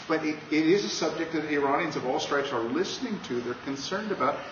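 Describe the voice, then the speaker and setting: A man rattles off his words very fast, with ordinary pitch variation. Noticeable noise runs behind him. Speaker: pastor and Iran specialist. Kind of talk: panel discussion. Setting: bookstore event with audience.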